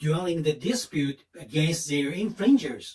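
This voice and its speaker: A high-pitched man with a Japanese accent and very wide pitch swings. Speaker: patent attorney. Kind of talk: seminar talk. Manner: halting.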